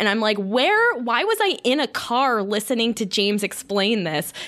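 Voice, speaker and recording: With an American accent, a woman uses an ordinary speaking voice at a fairly high pitch and a moderate pace. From US South, Florida. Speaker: podcast host. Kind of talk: casual chat.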